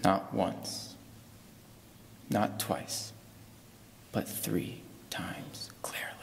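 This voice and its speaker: A man whispers at a very slow pace, with long, frequent pauses and big swings in loudness. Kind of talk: spoken word poem eulogy at a funeral. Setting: funeral service. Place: church. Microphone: podium.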